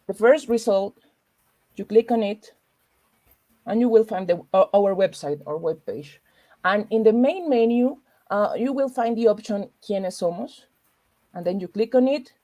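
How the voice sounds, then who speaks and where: With a Spanish accent, a woman talks at a moderate pace in a fairly high, dark, mellow voice, her intonation lively and her pauses long and frequent. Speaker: librarian. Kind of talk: tutorial; interview. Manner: halting.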